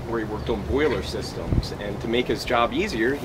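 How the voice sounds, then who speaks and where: Loud background noise sits behind this recording. A man speaks over it at a moderate pace. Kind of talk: eulogy. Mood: warm, fond remembrance. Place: tent. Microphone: camera far.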